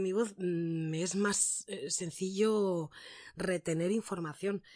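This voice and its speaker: The speaker uses fairly even intonation. The background is quiet, and the sound is dry and close, with no echo. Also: woman. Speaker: voice actress and announcer. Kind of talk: interview. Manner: trained placed voice.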